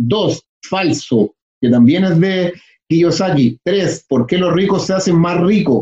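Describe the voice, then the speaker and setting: A man with a high pitch and a dark, mellow tone swings his pitch very widely, the sound dry and close with no echo. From Chile (Santiago). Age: 30s. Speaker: real estate investor. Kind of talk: interview.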